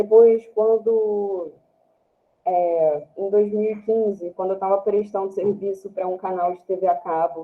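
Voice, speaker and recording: A woman speaks at a fairly slow pace in a medium pitch, her intonation monotone and flat. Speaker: product designer. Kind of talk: online talk presentation. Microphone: slightly quiet and muffled.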